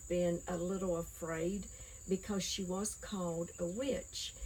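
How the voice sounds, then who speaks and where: With a Southern Appalachian accent, a woman speaks at a very slow pace. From Appalachia, US (Nolichucky River, East Tennessee). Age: 60s. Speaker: herb knowledge interviewee. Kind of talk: oral history interview. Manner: halting, many fillers.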